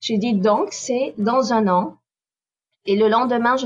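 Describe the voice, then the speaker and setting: A woman talks at a fairly slow pace with fairly even intonation. Her voice is somewhat breathy. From southern France, Nîmes. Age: 40s. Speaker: expatriate. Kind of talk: interview.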